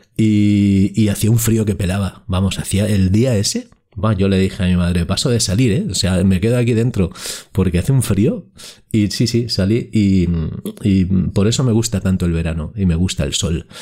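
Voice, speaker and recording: A man with a normal speaking voice talks at a moderate pace, keeping a fairly low pitch, ordinary pitch variation, and very even loudness. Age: 50s. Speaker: podcast host. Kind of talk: solo podcast monologue.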